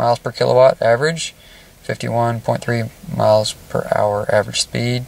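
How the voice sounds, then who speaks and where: Recorded dry with no echo over light background noise, a man speaks at a moderate pace. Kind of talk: casual vlog commentary. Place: car. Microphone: phone near.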